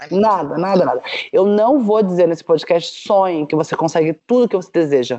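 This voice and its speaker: In a normal speaking voice, a woman talks at a moderate pace with medium pitch and lively intonation. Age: 40s. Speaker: startup founder. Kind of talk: casual chat.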